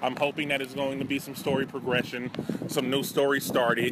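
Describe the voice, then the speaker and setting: Against noticeable background noise, a man talks at medium pitch with monotone, flat intonation. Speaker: co-host interviewer. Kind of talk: casual street interviews.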